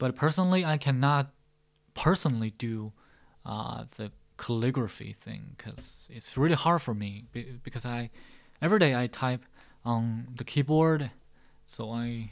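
A man with a Chinese accent speaks at a moderate pace and medium pitch, with ordinary pitch variation and big swings in loudness. He leaves long, frequent pauses, and the recording is very clean with a silent background. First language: Mandarin Chinese. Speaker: podcast host. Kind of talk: mock speaking exam practice. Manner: hesitant with frequent fillers.

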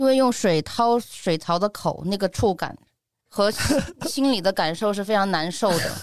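On a very clean recording with a silent background, a woman speaks at a fairly slow pace and medium pitch in an animated tone with lively intonation. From Sichuan, Neijiang. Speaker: food and lifestyle blogger. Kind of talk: casual chat.

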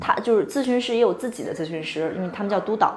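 A high-pitched woman's voice at a very fast pace, with very wide pitch swings and noticeable background noise. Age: 20s. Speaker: podcast host. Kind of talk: casual chat. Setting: office.

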